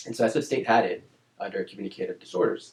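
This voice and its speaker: A man speaks very fast with a Spanish accent. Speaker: speech-language pathologist. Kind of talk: interview. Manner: casual, with fillers and repetitions.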